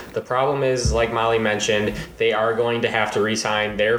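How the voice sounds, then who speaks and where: A man speaks in a monotone with flat intonation. Noticeable background noise runs under his voice. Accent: Michigan. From Michigan. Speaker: guest, college student. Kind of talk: casual chat.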